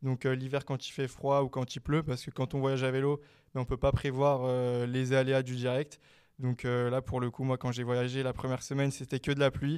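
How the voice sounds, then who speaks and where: A man's medium-pitched, flat, monotone voice at a moderate pace, on a very clean recording with a silent background. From France, Meaux (Seine-et-Marne). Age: 20s. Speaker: student and cycling adventurer. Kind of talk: interview. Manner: hesitant, many fillers.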